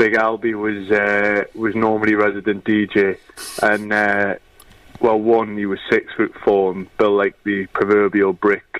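In a Geordie accent, a man speaks at a fairly slow pace. His fairly low voice stays monotone and flat. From northern England, Newcastle. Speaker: former footballer and youth coach. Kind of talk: casual chat.

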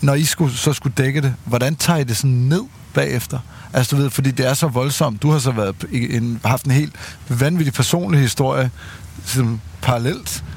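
The speaker is a man with a somewhat breathy voice. He keeps to a moderate pace. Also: medium pitch for a man, ordinary pitch variation, very even loudness. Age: 30s. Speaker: podcast host. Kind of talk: casual chat.

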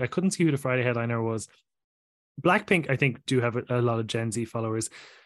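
Against a quiet background, a man speaks at a very fast pace and medium pitch. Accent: Irish. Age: 30s. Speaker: podcaster. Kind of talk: casual chat.

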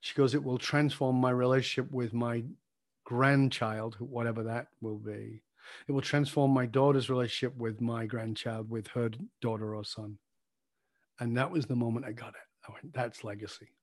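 Speaking with a northern English accent, a man holds a medium pitch and fairly even intonation. His loudness swings widely over a quiet background. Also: moderate pace. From northern England. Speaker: leadership coach. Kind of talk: interview.

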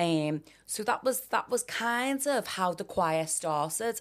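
A woman with a Liverpool accent, on a very clean recording with a silent background. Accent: Scouse. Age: 40s. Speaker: performer and dancer. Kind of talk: interview.

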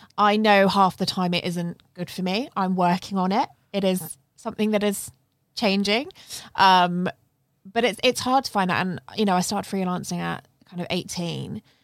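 Against a silent background on a very clean recording, a woman with a British accent speaks with fairly even intonation. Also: medium pitch for a woman, moderate pace. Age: 20s. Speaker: podcast host. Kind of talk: casual interview conversation; scripted podcast intro. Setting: studio.

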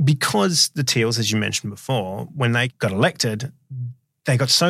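On a very clean recording with a silent background, a man with an Australian accent talks at a fairly quick pace with lively intonation. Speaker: podcast host. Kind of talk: casual interview.

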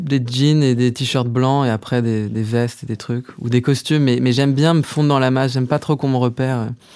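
Dark and mellow in tone, a man talks at a fairly quick pace with medium pitch and fairly even intonation. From Paris, France. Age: 30s. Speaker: musician and songwriter. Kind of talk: casual interview chat.

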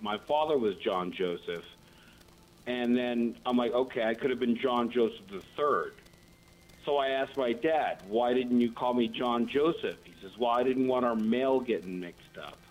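In an ordinary speaking voice, a man with an American accent talks at a medium pitch and moderate pace with ordinary pitch variation. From Colorado. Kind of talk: casual chat.

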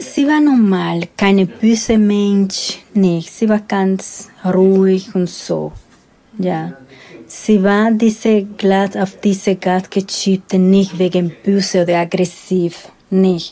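A woman speaks at a very slow pace with a Spanish accent. Her tone is dark and mellow, her intonation fairly even. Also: medium pitch for a woman, very even loudness. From Dominican Republic. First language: Spanish (speaking German). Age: 50s. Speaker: former sex worker, witness. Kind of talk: interview. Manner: halting.

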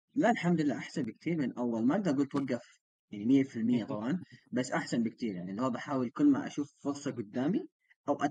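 At a very fast pace, a man speaks in a dark, mellow tone with medium pitch and ordinary pitch variation. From Sudanese raised in Saudi Arabia. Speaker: podcast co-host, engineer. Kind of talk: casual chat.

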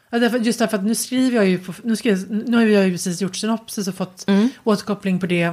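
Hardly pausing at all, a woman talks at a very fast pace. Her intonation stays fairly even. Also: medium pitch for a woman, very clean recording, silent background. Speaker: writer and podcast co-host. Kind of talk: casual chat. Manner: halting.

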